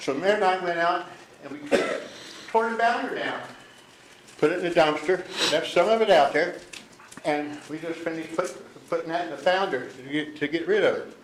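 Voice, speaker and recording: Moderate pacing broken by long, frequent pauses, over noticeable background noise. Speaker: business owner speaking at public meeting. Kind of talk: public comment at county meeting. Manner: agitated, animated.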